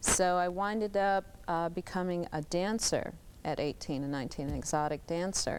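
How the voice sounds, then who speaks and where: A woman with a plain, everyday voice and an American accent talks at a moderate pace with a fairly low pitch and ordinary pitch variation on a very clean recording with a silent background. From Michigan (Lansing). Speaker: adult film actress. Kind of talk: TV talk show interview.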